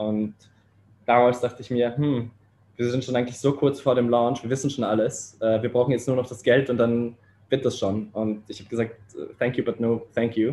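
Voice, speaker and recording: Monotone, flat intonation marks this man's speech. His tone is dark and mellow, at a moderate pace. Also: medium pitch for a man. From Austria and Poland (Vienna). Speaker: startup co-founder. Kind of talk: interview. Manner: halting, many fillers.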